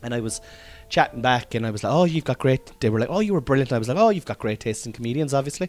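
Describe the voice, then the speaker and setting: A man with a Cork accent, animated tone and lively intonation at a very fast pace, a dry, close sound with no echo, and music in the background. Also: medium pitch for a man. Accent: Cork Irish. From Ireland, Cork. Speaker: comedian podcaster. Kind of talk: casual chat.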